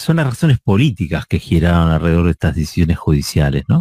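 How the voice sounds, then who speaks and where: Speaking at a fairly quick pace with an Argentine accent, a man has a dark, mellow tone in a dry, close sound with no echo. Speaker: radio host. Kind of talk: radio editorial.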